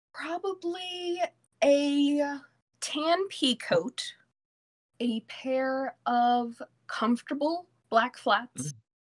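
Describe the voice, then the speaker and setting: A woman with an American accent speaks at a very slow pace, with long, frequent pauses and lively intonation. Her pitch is high, and the sound is dry and close with no echo. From Virginia Beach, US; born in New York. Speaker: comedian and actor. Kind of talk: casual chat.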